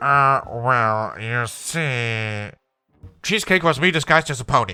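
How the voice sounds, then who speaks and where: A man puts on a character voice at a medium pitch and a fairly slow pace. The recording is very clean, with a silent background. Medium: read story. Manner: theatrical, laughing.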